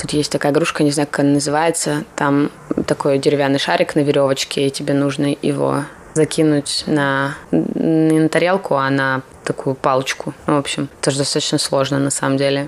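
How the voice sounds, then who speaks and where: Through noticeable background noise, a woman speaks at a moderate pace in a very deep, low pitch with monotone, flat intonation. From Russia. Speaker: designer and graduate student. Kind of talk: interview.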